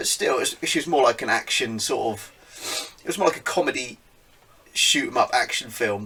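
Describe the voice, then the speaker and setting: With a British accent, a man talks at a fairly quick pace over noticeable background noise. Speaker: geek culture podcast host. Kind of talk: casual talk to camera.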